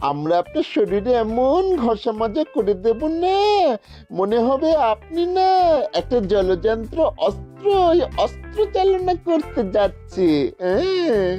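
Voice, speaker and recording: A cartoonish character voice at a fairly high pitch and fairly slow pace, with clear music in the background. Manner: ingratiating.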